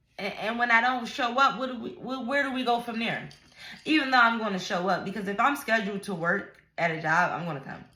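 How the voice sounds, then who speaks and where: Her voice is fairly high, and this woman talks at a fairly quick pace with lively intonation and big swings in loudness over audible room echo. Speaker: vlogger. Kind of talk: casual vlog rant.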